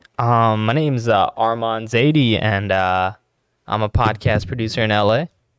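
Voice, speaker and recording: A man with an American accent has a plain, everyday voice at medium pitch, speaking at a moderate pace with fairly even intonation. His loudness stays very even in a very clean recording with a silent background. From Los Angeles. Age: young. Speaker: podcast producer. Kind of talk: casual chat. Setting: studio.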